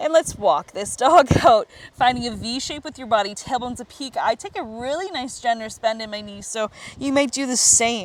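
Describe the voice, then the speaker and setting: With a high pitch and lively intonation, a woman speaks at a moderate pace, her loudness swinging widely. Noticeable background noise is present. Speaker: yoga instructor. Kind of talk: guided yoga class.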